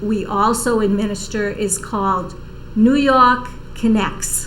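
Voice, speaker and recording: Over noticeable background noise and audible room echo, a woman with a Boston accent speaks at a very slow pace and a fairly high pitch. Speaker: senior services outreach coordinator. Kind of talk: TV interview.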